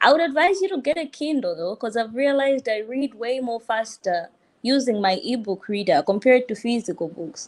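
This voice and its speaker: With a Malawian accent, a woman talks at a fairly quick pace and a high pitch, her pitch swinging very widely. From Tanzania. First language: Chichewa. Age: 20s. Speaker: law student. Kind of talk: casual chat.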